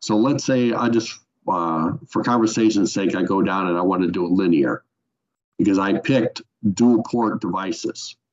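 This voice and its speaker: A man talks at a moderate pace in a plain, everyday voice. His fairly low pitch shows ordinary variation. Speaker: software trainer. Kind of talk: webinar tutorial. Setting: online webinar.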